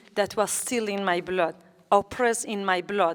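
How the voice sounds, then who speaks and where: A woman's medium-pitched voice holds fairly even intonation throughout. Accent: Kurdish. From Kurdistan, Iran. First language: Kurdish. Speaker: politician and activist. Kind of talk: public talk. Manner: halting.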